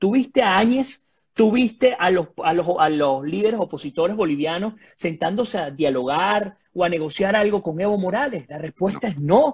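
At a moderate pace, a man talks in a high pitch with very wide pitch swings. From Venezuela. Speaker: journalist and political commentator; journalist, political commentator. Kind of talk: political analysis interview. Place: home room. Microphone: video call.

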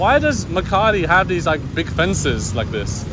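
Noticeable background noise surrounds a dry sound with no echo. A man speaks at a high pitch with lively intonation. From England, London. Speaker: travel vlogger. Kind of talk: casual vlog narration. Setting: outdoors and on public transport. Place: street. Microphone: phone near.

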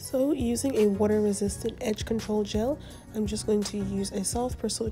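Behind the speech there is music. A woman talks at a moderate pace. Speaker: hair tutorial creator. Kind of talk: hair tutorial talk to camera.

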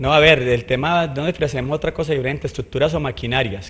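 Somewhat breathy, a man talks at a very fast pace with ordinary pitch variation. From Colombia. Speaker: mayoral candidate; candidate. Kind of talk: interview. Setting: studio. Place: studio. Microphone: handheld.

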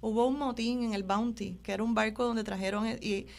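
With a plain, everyday voice, a woman talks at a fairly quick pace and fairly high pitch with ordinary pitch variation. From Puerto Rico, Trujillo Alto. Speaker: journalist and artisan. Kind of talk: interview. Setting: studio.

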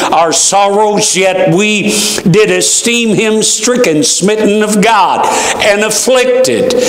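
Amid audible room echo, a man with a high pitch talks very slowly. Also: ordinary pitch variation. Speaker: preacher. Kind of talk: scripture reading in a sermon. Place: church.

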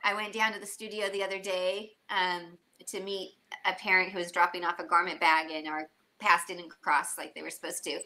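Her tone bright and sharp, a woman speaks at a moderate pace with ordinary pitch variation. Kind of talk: interview answer. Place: home room.

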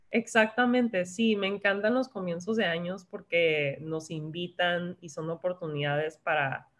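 Ordinary pitch variation runs through a woman's voice at a fairly slow pace. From San Diego / Tijuana border region; San Diego. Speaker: wellness influencer and health coach; wellness influencer, health coach. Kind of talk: casual interview chat. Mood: reflective, calm. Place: home room. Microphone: video call.

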